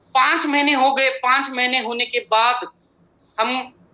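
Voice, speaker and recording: A man with a Marathi accent speaks at an extremely high pitch. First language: Marathi (speaking Hindi). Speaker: company chairman and MD. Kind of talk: motivational business presentation.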